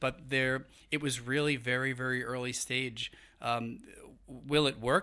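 Speaking at a fairly slow pace in a New York accent, a man has a medium pitch, a bright, sharp tone and fairly even intonation. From New York City, Brooklyn. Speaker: human resources executive. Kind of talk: casual interview. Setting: studio.

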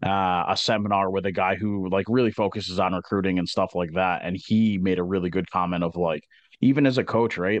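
An unremarkable speaking voice from a man, fairly low in pitch, at a moderate pace against a quiet background. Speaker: podcast co-host and college hockey coach. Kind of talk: casual interview chat.

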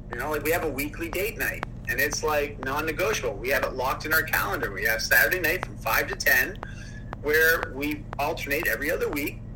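Noticeable background noise and audible room echo around a man talking fairly quickly. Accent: Canadian. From Ontario, Canada. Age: 40s. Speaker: motivational speaker. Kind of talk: casual interview.

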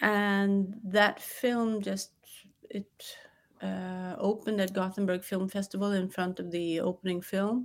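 A woman with a Swedish accent speaks at a medium pitch and a fairly slow pace, in a monotone, flat intonation. The recording is very clean, with a silent background. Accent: Swedish-tinged English. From New York and Sweden. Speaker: film director. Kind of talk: interview. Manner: halting.

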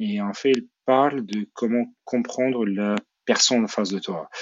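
A man with a medium-pitched voice speaks at a very slow pace with ordinary pitch variation. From Ukraine, Odessa. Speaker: entrepreneur. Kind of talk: interview.

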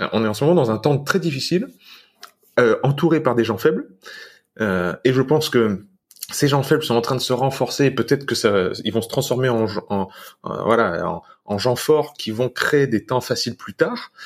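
Speaking at a moderate pace with long, frequent pauses, a man uses a medium pitch with ordinary pitch variation. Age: 30s. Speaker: fitness and lifestyle guest. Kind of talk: casual interview chat.

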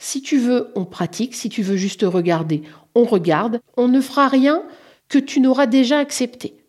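With very wide pitch swings, a woman talks at a moderate pace and a high pitch. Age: 50s. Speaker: interviewee sharing personal story. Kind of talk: personal testimony. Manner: halting, with fillers.

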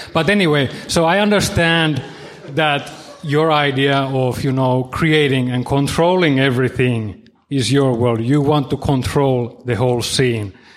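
In a room with audible echo, a man talks at a fairly slow pace with fairly high pitch, ordinary pitch variation and very even loudness. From Finland. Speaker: audience member, music producer. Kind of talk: audience question. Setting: stage with audience.

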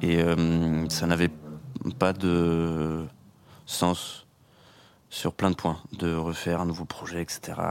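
A man's very deep, low voice, monotone and flat, at a very slow pace with long, frequent pauses, on a very clean recording with a silent background. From Normandy, France. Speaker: musician. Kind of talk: radio interview.

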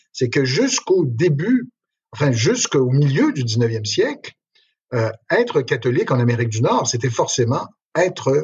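At a fairly slow pace, a man talks in a medium pitch, somewhat breathy, with ordinary pitch variation. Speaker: history professor. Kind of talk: interview.

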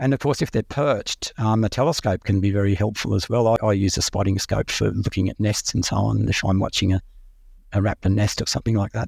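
With an Australian accent, a man talks very fast at a fairly low pitch with ordinary pitch variation, his voice somewhat breathy and the sound dry and close with no echo. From Australia, Sydney and rural New South Wales. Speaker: raptor ecologist. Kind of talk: interview. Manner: halting, with many repeats and ums.

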